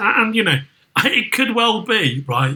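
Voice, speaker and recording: A man speaks in a raised, projected voice at a high pitch. His intonation is lively and his pace moderate. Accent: Liverpool. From northern England, Merseyside. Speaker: podcast commentator and entertainment executive. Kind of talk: casual chat. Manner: animated.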